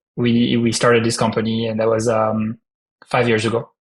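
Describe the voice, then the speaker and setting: This man speaks with a strong French accent. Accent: heavy French. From France. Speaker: startup founder. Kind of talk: podcast interview.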